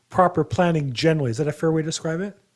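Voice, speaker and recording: With an American accent, a man speaks in a high pitch with ordinary pitch variation. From Los Angeles. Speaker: podcast host. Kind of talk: interview. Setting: call.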